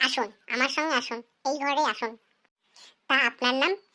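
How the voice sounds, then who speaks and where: On a very clean recording with a silent background, a woman performs a cartoonish character voice, high in pitch and very even in loudness. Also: moderate pace. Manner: teasing, suggestive.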